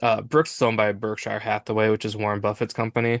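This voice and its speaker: In a dry, close recording with no echo and a quiet background, a man of medium pitch speaks at a fairly quick pace. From Minnesota. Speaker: podcast host. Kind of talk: casual chat.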